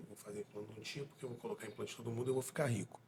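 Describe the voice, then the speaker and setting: With ordinary pitch variation, a man speaks in a somewhat breathy way. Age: 40s. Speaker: dentist and podcast co-host. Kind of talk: casual interview conversation.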